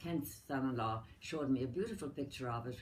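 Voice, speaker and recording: There is audible room echo around a woman whose very deep, low voice sounds somewhat breathy. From Ireland, County Mayo. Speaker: elderly relative interviewed about her life. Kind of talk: family oral history interview.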